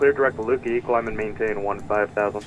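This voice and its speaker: A man races through his words at a very fast pace, his intonation staying fairly even. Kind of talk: radio phraseology, clipped and formal. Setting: aviation radio.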